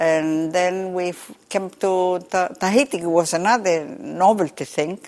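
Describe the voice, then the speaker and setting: On a very clean recording with a silent background, a woman talks in a Spanish accent. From Chile. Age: 80s+. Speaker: umbrella maker. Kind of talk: interview. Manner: halting.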